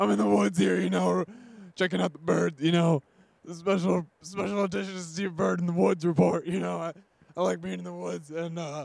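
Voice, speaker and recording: The pitch leaps very widely from high to low. It is a put-on character voice. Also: man. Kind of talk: comedic mock news report. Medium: comedy sketch. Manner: rambling, filler-heavy. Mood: cheerful, rambling.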